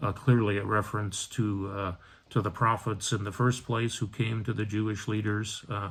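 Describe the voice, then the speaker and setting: A man's voice comes through somewhat breathy. His intonation is monotone and flat. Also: fairly low pitch for a man, moderate pace. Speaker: Episcopal priest. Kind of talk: bible study talk. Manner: many hesitations (uh, um).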